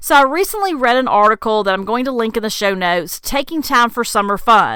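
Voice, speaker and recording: Her voice is fairly high-pitched with a bright, sharp tone, and this woman moves at a fairly quick pace with ordinary pitch variation. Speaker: podcast host. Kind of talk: solo podcast monologue. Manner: fast.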